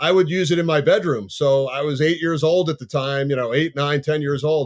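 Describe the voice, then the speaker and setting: Fairly high pitch, an ordinary speaking voice, and a fairly quick pace from a man. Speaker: sports play-by-play announcer. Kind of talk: podcast interview.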